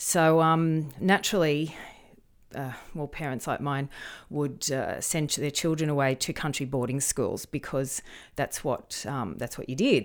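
A woman speaks with a very deep, low pitch at a moderate pace. The recording is very clean, with a silent background. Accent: Australian. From rural New South Wales, Australia. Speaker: screenwriter and media lecturer. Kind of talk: interview conversation.

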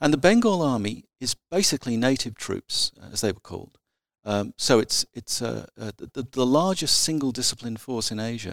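Dry and close with no echo, a man's medium-pitched voice carries an Australian accent, lively intonation and a moderate pace. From South Australia. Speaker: military historian. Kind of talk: interview. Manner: halting.

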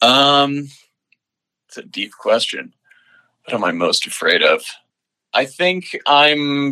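This man speaks very slowly with an American accent, leaving long, frequent pauses. His loudness swings widely. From Long Island, New York. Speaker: video editor and director. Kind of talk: casual interview. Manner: hesitant, many fillers.

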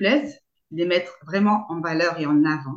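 The pitch moves in a typical way. The voice belongs to a woman. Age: 30s. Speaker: sex therapist. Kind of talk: interview. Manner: halting, many fillers and repetitions.

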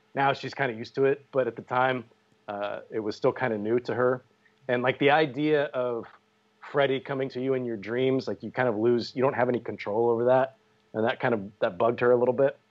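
Fairly quick and fairly even in intonation, a man of medium pitch talks in an unremarkable speaking voice. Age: 40s. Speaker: podcast host. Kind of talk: casual chat.

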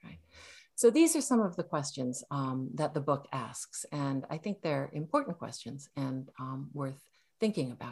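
A woman with a very deep, low pitch speaks fairly slowly, somewhat breathy, with lively intonation and big swings in loudness over a quiet background. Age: 60s. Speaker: novelist and Zen priest. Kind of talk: dharma talk. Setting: video call. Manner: hesitant, many fillers.

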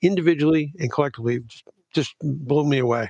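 A man talks at a fairly quick pace and a fairly high pitch, with ordinary pitch variation. The sound is dry and close, with no echo. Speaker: podcast host. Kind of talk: casual conversation. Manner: animated, chatty.

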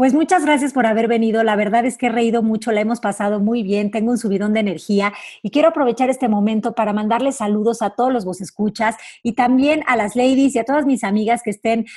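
Against a very clean recording with a silent background, a woman talks at a fairly quick pace and fairly high pitch, somewhat breathy and with ordinary pitch variation. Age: 30s. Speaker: radio host and life coach. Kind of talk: casual chat. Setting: radio studio.

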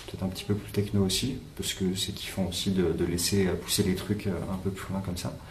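A man with a fairly low pitch speaks at a fairly quick pace in a monotone, flat intonation, with audible room echo and noticeable background noise. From France, countryside near Clermont-Ferrand. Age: 30s. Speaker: electronic musician. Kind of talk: interview.

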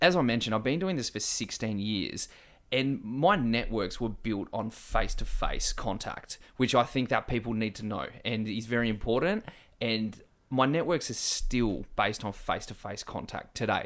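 A man with an Australian accent speaks at a moderate pace. His pitch is medium, with ordinary variation. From eastern Australia. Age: 30s. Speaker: fitness social media business owner. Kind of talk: casual interview chat.

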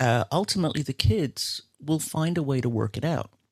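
A man at a moderate pace with lively intonation, the sound dry and close with no echo in a very clean recording with a silent background. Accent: American. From Belfast, Northern Ireland. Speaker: music teacher. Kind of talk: casual interview conversation.

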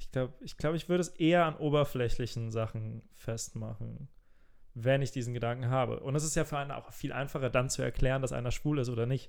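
Talking at a very fast pace, a man speaks at a medium pitch. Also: ordinary pitch variation. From rural Germany, small village. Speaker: podcast co-host, comedian. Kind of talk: casual chat.

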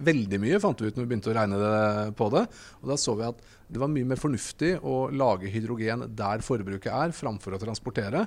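A man at a medium pitch talks in a normal speaking voice with ordinary pitch variation. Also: fairly quick pace. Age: 40s. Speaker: hydrogen company CEO. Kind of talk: interview. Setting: trade fair stand.

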